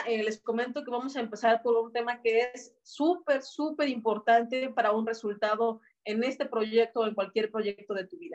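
At a moderate pace and with hardly any pauses, a woman talks in a fairly high voice with ordinary pitch variation. Her loudness swings widely. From Mexico, Celaya, Guanajuato. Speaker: network marketing team leader. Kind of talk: online training workshop. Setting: video call.

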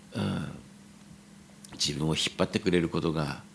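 The man speaks at a moderate pace with vocal fry and ordinary pitch variation. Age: 40s. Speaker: restaurant owner. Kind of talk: solo podcast monologue. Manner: casual, hesitant with many fillers.

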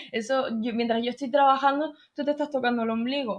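At a moderate pace, a woman talks in a high pitch. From Canary Islands (Tenerife). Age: 20s. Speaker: film and acting student, video editor. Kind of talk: interview.

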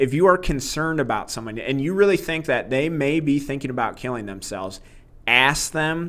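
With an unremarkable speaking voice, a man talks at a fairly quick pace, fairly high in pitch and with lively intonation. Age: 30s. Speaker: podcast host discussing books. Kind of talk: book discussion monologue.

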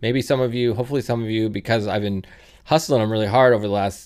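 Fairly low in pitch, a man speaks with fairly even intonation in an unremarkable speaking voice. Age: 40s. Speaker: podcast host. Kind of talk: casual chat. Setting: video call.

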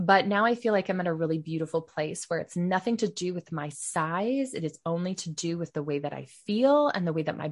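With a plain, everyday voice, a woman speaks at medium pitch and a fairly quick pace. Her intonation is lively over a quiet background. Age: 30s. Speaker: former massage therapist and podcaster. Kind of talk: casual interview chat.

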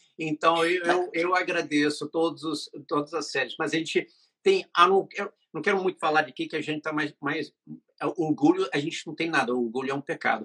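A man's fairly high, bright, sharp voice, dry and close with no echo. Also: ordinary pitch variation, moderate pace. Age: 50s. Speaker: web series director. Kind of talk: interview.

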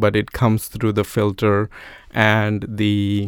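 A fairly low-pitched man at a fairly slow pace. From India (Andhra Pradesh). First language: Telugu. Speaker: engineer and church teacher. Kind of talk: casual interview. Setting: studio.

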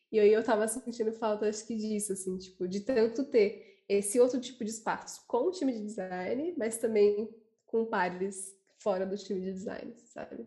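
Somewhat breathy delivery. Its tone is dark and mellow. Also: woman. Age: 20s. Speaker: designer. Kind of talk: casual chat.

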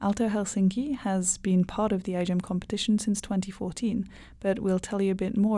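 The woman's voice is dark and mellow, somewhat breathy, and medium in pitch. Her intonation stays fairly even on a very clean recording with a silent background. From Hungary. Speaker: student podcast co-host. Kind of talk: scripted intro; casual podcast chat.

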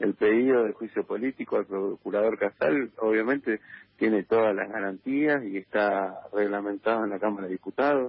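The man's pitch is fairly low and his intonation fairly even. He speaks at a moderate pace. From Argentina. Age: 30s. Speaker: politician. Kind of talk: phone interview. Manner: halting, many fillers and repetitions.

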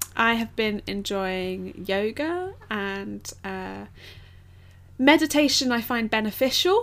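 A woman talks with an English accent. Her pace is very slow. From England. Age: 20s. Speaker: podcast co-host. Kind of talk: casual chat.

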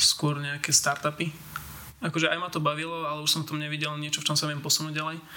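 A man talks at a very fast pace with a fairly high pitch and monotone, flat intonation. Noticeable background noise runs underneath. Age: 20s. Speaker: 3D environment artist. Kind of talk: interview. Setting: home studio.

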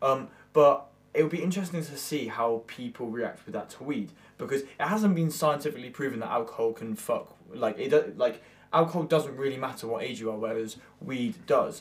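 A man with a plain, everyday voice, fairly high in pitch, with lively intonation at a moderate pace. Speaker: podcast co-host and musician. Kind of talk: casual chat.

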